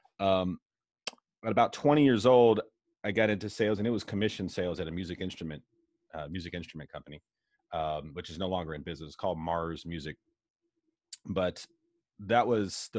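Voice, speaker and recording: A man with a very deep, low voice talks at a fairly quick pace with ordinary pitch variation. The sound is dry with no echo, and the background is quiet. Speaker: insurance broker and sales leader. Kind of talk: casual interview. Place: office. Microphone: video call.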